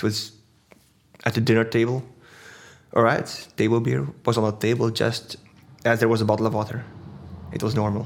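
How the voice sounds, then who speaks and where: With a Dutch accent, a man speaks at a fairly quick pace and medium pitch in a monotone, flat intonation, with long, frequent pauses. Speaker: brewer. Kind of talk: casual interview.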